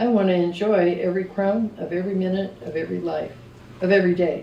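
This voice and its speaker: A woman talks at a fairly quick pace. There is audible room echo and noticeable background noise. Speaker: contributing writer. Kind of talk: reading aloud. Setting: arts center event with audience.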